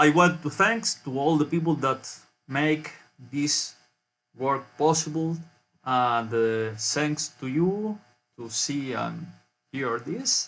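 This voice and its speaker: With music in the background, a man with a Spanish accent speaks at a very slow pace in a fairly high pitch, with ordinary pitch variation and long, frequent pauses. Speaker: university researcher. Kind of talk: conference presentation. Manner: halting.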